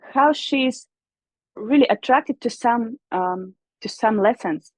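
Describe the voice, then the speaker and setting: With a Russian accent, a woman speaks at a very slow pace in a high pitch. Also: dry, close sound with no echo. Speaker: musician and vocal teacher. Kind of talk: interview. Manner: halting.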